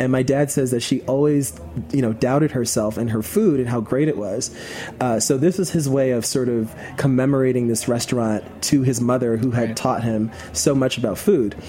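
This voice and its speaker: Moderate pace with an American accent over noticeable background noise. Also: man, medium pitch for a man, ordinary pitch variation. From New York City (Queens). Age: 20s. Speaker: chef and online cooking video host. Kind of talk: casual interview chat. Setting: studio.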